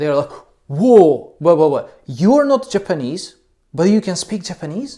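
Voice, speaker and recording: A man with a non-native accent speaks at a high pitch, with very wide pitch swings and a dark, mellow tone. The recording is very clean, with a silent background. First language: not English. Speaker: English teacher. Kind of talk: educational talk. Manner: halting, many fillers.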